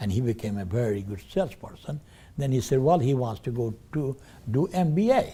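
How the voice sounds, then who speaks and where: This man has a medium pitch, a dark, mellow tone and a somewhat breathy quality, speaking at a moderate pace. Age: 80s+. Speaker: business owner. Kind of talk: testimony. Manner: halting.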